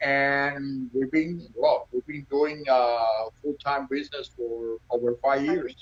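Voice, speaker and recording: Spoken in a Cuban accent at a very slow pace, the voice has hardly any pauses and fairly even intonation. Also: man, fairly high pitch for a man. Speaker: restaurant owner. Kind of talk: casual interview. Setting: Instagram live video.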